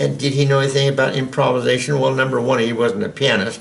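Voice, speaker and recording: A medium-pitched man with an American accent and ordinary pitch variation, amid audible room echo and noticeable background noise. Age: 80s+. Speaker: piano teacher. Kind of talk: tutorial. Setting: at the piano. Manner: halting.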